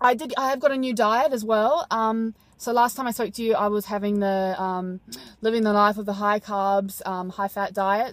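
A woman's fairly quick, fairly evenly intoned speech, dry with no echo, over a quiet background. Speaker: fitness competitor vlogger. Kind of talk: casual vlog chat. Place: car. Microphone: phone near.

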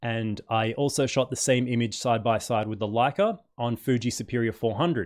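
Quiet background, a man at medium pitch, moderate pace and ordinary pitch variation. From Perth, Western Australia; Western Australia. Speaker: photography YouTuber. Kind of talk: live stream chat and unboxing. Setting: at home. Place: home room. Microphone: studio mic.

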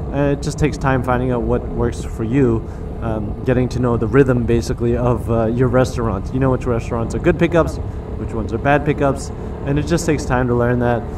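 Noticeable background noise runs under this clip. A man talks at a fairly quick pace. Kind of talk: casual vlog chat. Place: motorbike. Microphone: lapel.

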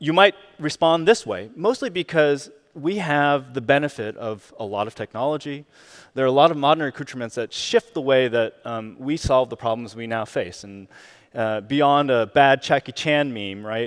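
A man talks at a moderate pace with lively intonation and big swings in loudness against a quiet background. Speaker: keynote speaker. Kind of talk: keynote talk. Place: stage. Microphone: headset.

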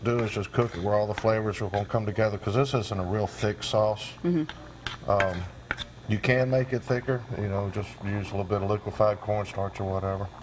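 Someone speaks at a fairly quick pace with fairly even intonation over noticeable background noise. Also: man, fairly low pitch for a man. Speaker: guest. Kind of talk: tutorial. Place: studio. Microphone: lapel.

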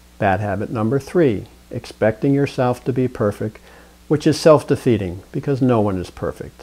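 A moderate pace carries a tone that is dark and mellow. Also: man. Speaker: presenter. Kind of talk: calm advice talk to camera. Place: studio. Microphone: lapel.

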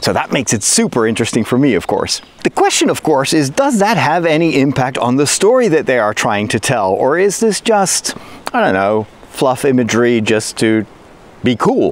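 A man at a moderate pace, with very wide pitch swings and very even loudness, in a dry sound with no echo. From Netherlands. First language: Dutch. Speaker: priest and geek YouTuber. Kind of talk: video essay, informal commentary. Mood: upbeat, curious. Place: forest. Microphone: phone near.

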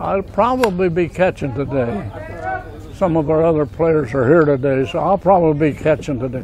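A man's fairly high voice at a moderate pace with ordinary pitch variation, a dry sound with no echo and crowd noise in the background. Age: 90s. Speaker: senior amateur baseball player. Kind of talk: casual interview. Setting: outdoors. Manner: halting.

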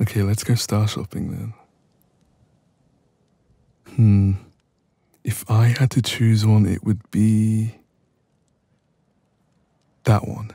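In a put-on character voice, a man speaks slowly with long, frequent pauses, a dark, mellow tone, a slightly husky edge, vocal fry, fairly low pitch and little pitch movement.

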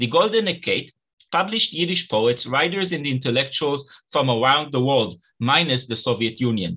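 A man's bright, sharp voice, fairly high in pitch, with lively intonation, a moderate pace and a quiet background. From Israel. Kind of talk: academic lecture. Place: home room. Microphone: webcam.

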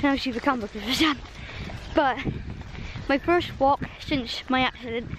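A woman's high voice at a moderate pace, fairly even in intonation, with a dry sound with no echo and noticeable background noise. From Scotland. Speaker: vlogger. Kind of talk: casual vlog talk. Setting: outdoors on a walk.

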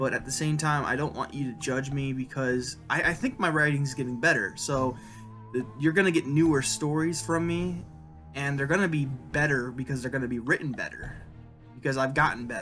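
A man speaks with fairly even intonation. Faint music plays in the background. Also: moderate pace. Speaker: writer vlogger. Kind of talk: casual vlog chat. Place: home room. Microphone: webcam.

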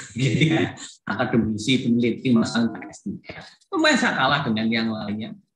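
Fairly even intonation at a moderate pace comes through noticeable background noise. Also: man. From Indonesia. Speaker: professor and vice dean; professor. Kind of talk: opening speech. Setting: video call. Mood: cheerful, encouraging. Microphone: video call.

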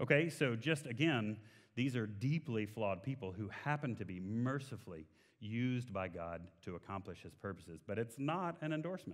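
Lively intonation in a Texan accent at a moderate pace, over a quiet background. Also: man, medium pitch for a man. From Texas. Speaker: guest preacher. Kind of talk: sermon. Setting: church. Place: church. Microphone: headset.

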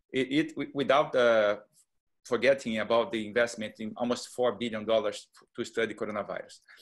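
There is a quiet background behind a man who speaks with a Portuguese accent. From Brazil. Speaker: neuroscientist. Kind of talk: panel discussion. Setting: video call. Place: home room. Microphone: earbuds.

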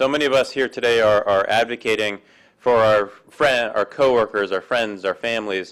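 In an unremarkable speaking voice, a man talks at a moderate pace with a medium pitch and ordinary pitch variation over a quiet background. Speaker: event emcee. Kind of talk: event introduction and thanks. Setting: stage with audience. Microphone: podium.

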